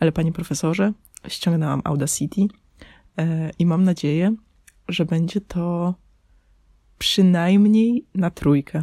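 A woman speaks at a fairly slow pace with long, frequent pauses, her fairly low, somewhat breathy voice dark and mellow in tone, with ordinary pitch variation and very even loudness, in a very clean recording with a silent background and a dry, close sound with no echo. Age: 20s. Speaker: podcaster. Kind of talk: personal monologue. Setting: under a blanket in parents' bedroom. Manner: casual.

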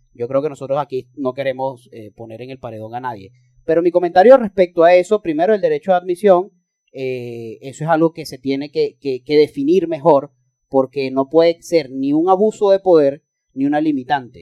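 A man with a Venezuelan accent, a fairly high pitch and a dark, mellow tone, at a moderate pace with ordinary pitch variation and big swings in loudness, in a dry, close sound with no echo. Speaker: podcast co-host, political scientist. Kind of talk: casual chat.

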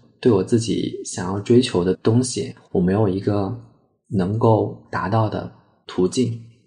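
A man's fairly low, dark, mellow, somewhat breathy voice, fairly slow, with fairly even intonation. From Sichuan, Chengdu. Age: 20s. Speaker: art therapy analyst, former teacher. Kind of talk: personal storytelling interview.

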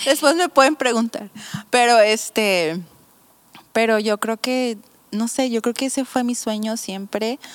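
A woman with a fairly high pitch speaks at a fairly slow pace. She leaves long, frequent pauses, and her pitch varies in an ordinary way. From Mexico, Mazatlán (Sinaloa). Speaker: pastor. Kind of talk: casual chat.

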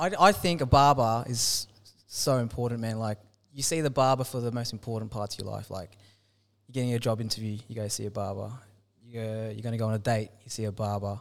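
A man speaks with an Australian accent at a fairly quick pace. His pitch is medium with ordinary variation, on a very clean recording with a silent background. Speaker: podcast host. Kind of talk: casual interview chat.

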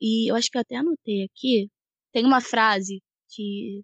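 Recorded dry and close with no echo, a woman speaks at a fairly high pitch and a moderate pace, her intonation fairly even. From Teresópolis, Rio de Janeiro state, Brazil. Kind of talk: casual faith discussion.

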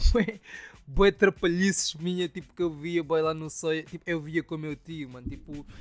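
With a plain, everyday voice, a man speaks at a moderate pace and fairly high pitch, with fairly even intonation, big swings in loudness and a dry, close sound with no echo. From Angola (Soyo). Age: 20s. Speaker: podcast host and rapper. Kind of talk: casual solo storytelling.

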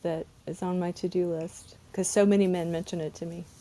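A woman with an American accent, medium in pitch, with a dark, mellow tone at a moderate pace. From US South. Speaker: therapist and podcast host. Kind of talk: casual chat. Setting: online audio room, recorded with video.

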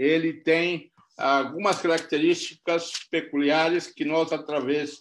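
A man talks in a fairly high pitch. His pace is very slow. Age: 60s. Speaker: pastor. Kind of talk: sermon.

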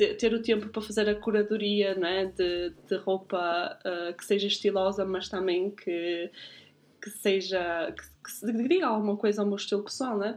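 Speaking fairly slowly, a woman with a normal speaking voice keeps a medium pitch and ordinary pitch variation. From northern Portugal, Guimarães. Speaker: podcast host, style consultant. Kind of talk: casual chat.

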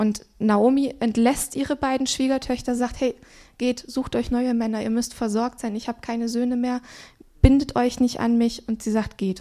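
On a very clean recording with a silent background, a woman with a dark, mellow tone and fairly high pitch speaks at a moderate pace with ordinary pitch variation. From Swabia, southern Germany. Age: 30s. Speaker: pastor. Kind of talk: sermon.

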